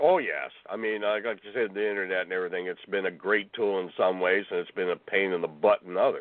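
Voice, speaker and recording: Fairly quick and with hardly any pauses, a man speaks in a plain, everyday voice. His pitch is fairly low, with ordinary pitch variation. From northern Ontario, Canada. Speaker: Bigfoot researcher and author. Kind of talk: interview.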